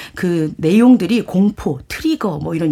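Her voice somewhat breathy with a dark, mellow tone, a woman speaks at a fairly low pitch and moderate pace with lively intonation. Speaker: book reviewer. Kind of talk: radio talk show, reading aloud. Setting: studio.

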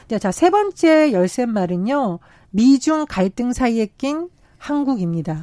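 A woman with a high pitch talks at a very slow pace, her voice swinging very widely in pitch. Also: very clean recording, silent background. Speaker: political commentator. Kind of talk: radio panel discussion. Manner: raised voice at times.

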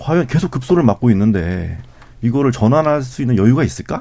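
Speaking fairly quickly, a man at medium pitch varies his pitch in an ordinary way, in an unremarkable speaking voice. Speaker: newspaper journalist. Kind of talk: radio panel discussion. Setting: studio.

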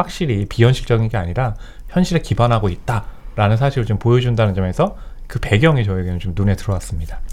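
Speaking at a very fast pace, a man uses medium pitch and lively intonation in a somewhat breathy voice. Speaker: film critic. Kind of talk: radio film review discussion. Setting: radio studio.

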